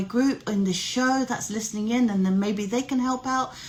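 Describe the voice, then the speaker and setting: With a British accent, a woman talks at a moderate pace and a fairly high pitch, keeping her intonation fairly even. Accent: noticeable British. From UK. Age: 40s. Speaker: life coach and live show host. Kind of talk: casual live-stream chat.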